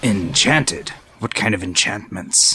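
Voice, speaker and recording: Raspy and put-on, this character voice moves at a moderate pace. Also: man. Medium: actual play. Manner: formal, stiff.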